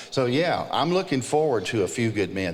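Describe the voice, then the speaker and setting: Speaking at a fairly quick pace with an American accent, a man uses lively intonation over noticeable background noise and audible room echo. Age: 50s. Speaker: music producer and ministry leader. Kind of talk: conference panel conversation. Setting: stage with audience.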